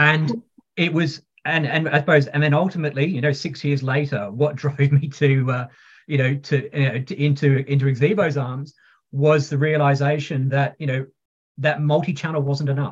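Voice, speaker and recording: A man's somewhat breathy voice, fairly high in pitch, at a moderate pace. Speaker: pharma technology executive. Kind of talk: interview conversation. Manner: energetic.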